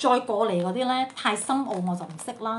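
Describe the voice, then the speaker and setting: The speaker is a woman. Light background noise can be heard. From Sandakan, Sabah, Malaysia. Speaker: home baker. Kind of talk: casual Facebook live talk. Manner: chatty, code-switching with English. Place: home room. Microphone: phone near.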